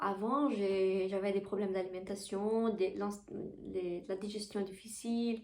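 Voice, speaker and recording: A woman with a Portuguese accent speaks at a very slow pace and a medium pitch. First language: Portuguese (speaking French). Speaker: spiritual coach and Reiki teacher. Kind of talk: casual spiritual vlog talk. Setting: bedroom. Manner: halting, with repetitions.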